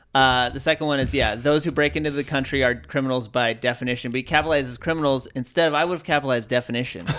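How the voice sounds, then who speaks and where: In a very clean recording with a silent background, a man with an American accent talks very fast at medium pitch, with hardly any pauses and fairly even intonation. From San Diego, California. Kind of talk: casual chat. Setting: studio.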